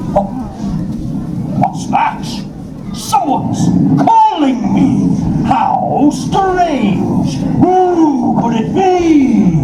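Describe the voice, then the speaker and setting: Someone uses a put-on character voice at a very slow pace. Loud background noise and a slight echo surround it. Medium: stage play.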